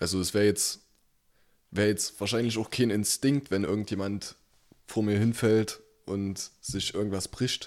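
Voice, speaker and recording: Long, frequent pauses from a man with a fairly low voice and fairly even intonation. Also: fairly slow pace. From Saxony, Germany. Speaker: podcast co-host. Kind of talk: casual chat.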